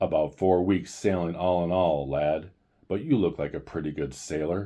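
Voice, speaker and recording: A man puts on a gruff character voice with a very deep, low pitch. He speaks at a moderate pace. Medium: read story. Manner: hearty, fatherly.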